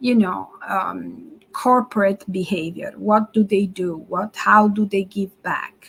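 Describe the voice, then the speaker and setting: At a very slow pace, a somewhat breathy voice with an Italian accent shows ordinary pitch variation. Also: woman. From Italy. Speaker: marketing strategist. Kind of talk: webinar presentation. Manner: halting, many fillers.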